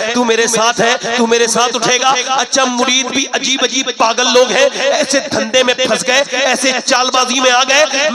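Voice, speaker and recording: Over noticeable background noise, a man projects a raised voice at an extremely high pitch with monotone, flat intonation. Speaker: Islamic preacher. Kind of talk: religious sermon to a live gathering. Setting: outdoor religious gathering. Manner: emotional, moving.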